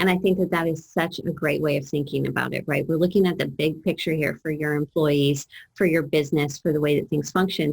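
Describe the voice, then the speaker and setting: A woman with an American accent talks at a fairly quick pace in a fairly low, somewhat breathy voice with ordinary pitch variation. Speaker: trauma educator. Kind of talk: interview.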